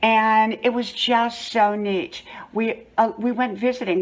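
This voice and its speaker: There is noticeable background noise behind this woman. Her intonation is fairly even. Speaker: lifestyle vlogger. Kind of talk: storytelling. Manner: conversational.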